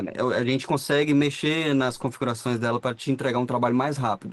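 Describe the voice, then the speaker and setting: A man with an unremarkable speaking voice talks at a medium pitch with fairly even intonation. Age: 20s. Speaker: dental radiologist, 3D printing specialist. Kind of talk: casual podcast interview.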